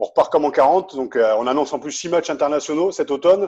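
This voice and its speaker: A man's dark, mellow tone in a southern French accent. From Picardy. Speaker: podcast host. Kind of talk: interview.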